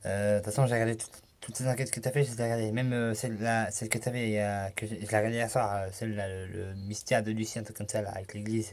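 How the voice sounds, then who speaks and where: A man talks at a very fast pace in a fairly low pitch. His intonation is monotone and flat. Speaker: youtuber. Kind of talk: casual vlog. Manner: halting.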